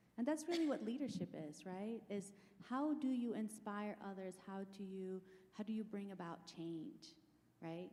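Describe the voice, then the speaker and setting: A woman speaks at a moderate pace in a fairly high voice, with noticeable background noise behind her. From Latin America. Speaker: business executive. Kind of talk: panel discussion.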